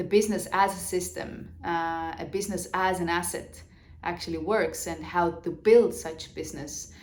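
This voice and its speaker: With audible room echo, a woman speaks at a moderate pace in a fairly low voice with vocal fry. Her intonation is fairly even, while her loudness swings widely. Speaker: business coach. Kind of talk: vlog monologue on business. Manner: halting, many fillers.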